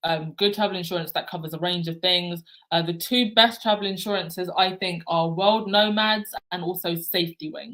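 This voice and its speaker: A woman with an ordinary speaking voice talks at a moderate pace, her medium pitch carrying fairly even intonation. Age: 30s. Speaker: travel vlogger. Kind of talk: live stream Q&A chat. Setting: livestream with chat.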